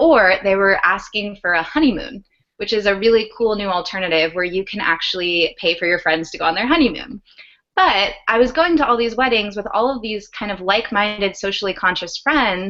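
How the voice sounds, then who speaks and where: A woman speaks at a fairly quick pace and a medium pitch. Hers is an ordinary speaking voice. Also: lively intonation. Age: 20s. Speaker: startup founder, former Peace Corps volunteer. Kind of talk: video call talk / professional development session. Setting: video call.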